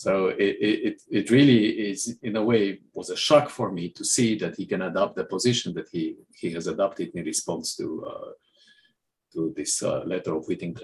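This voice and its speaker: A man speaks with a Romanian accent. His pace is moderate. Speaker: mathematics professor. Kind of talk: panel discussion.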